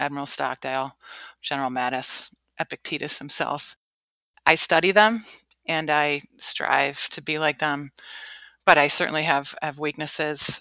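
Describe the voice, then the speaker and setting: A woman with a Midwestern American accent speaks at a moderate pace with a very deep, low pitch and fairly even intonation, taking long, frequent pauses. The sound is dry and close with no echo, over a quiet background. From US Midwest, Cleveland, Ohio. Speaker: Marine Corps officer. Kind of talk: interview.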